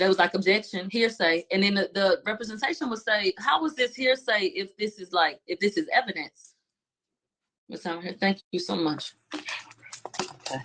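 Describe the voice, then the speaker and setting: A woman with a Houston accent speaks with lively intonation in a dry, close sound with no echo. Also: medium pitch for a woman, moderate pace. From Houston, Texas. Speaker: trial commentator. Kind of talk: casual chat.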